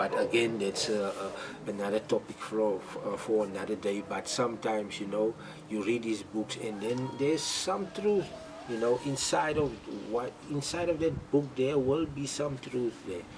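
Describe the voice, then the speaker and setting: Through noticeable background noise, a man with a non-native accent and medium pitch talks at a moderate pace with lively intonation. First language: not English. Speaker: vlogger. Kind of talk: casual monologue. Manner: halting, many repetitions.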